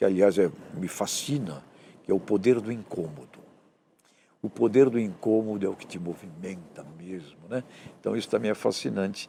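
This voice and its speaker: The voice has a dark, mellow tone and lively intonation. Its loudness swings widely, broken up by long, frequent pauses. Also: man, fairly low pitch for a man, moderate pace. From Brazil, Santos (São Paulo state). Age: 60s. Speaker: professor and author. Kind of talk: interview.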